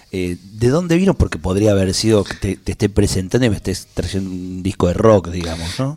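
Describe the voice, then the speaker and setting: Speaking at a fairly quick pace, a man with a very deep, low voice uses ordinary pitch variation. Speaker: radio host. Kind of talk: radio interview. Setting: radio studio.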